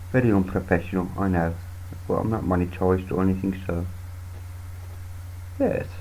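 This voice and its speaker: Speaking with a British accent, a man with a very deep, low pitch and a dark, mellow, somewhat breathy tone delivers flat, monotone lines broken by long, frequent pauses, with audible room echo. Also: fairly quick pace. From United Kingdom. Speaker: Linux youtuber. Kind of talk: screen-recorded tutorial. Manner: casual, halting with fillers.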